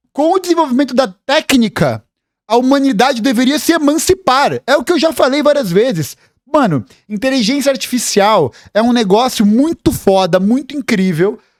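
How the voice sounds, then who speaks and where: A man with a Brazilian accent speaks at an extremely high pitch and a moderate pace, with lively intonation and an animated tone. His loudness is very even, and the sound is dry and close with no echo. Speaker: political commentator, history youtuber. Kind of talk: reaction video commentary.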